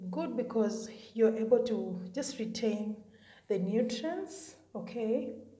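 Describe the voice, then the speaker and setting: A woman speaks at a fairly slow pace with a fairly high pitch. Noticeable background noise and audible room echo are present. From Kenya. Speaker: beauty content creator. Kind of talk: tutorial. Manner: casual, chatty.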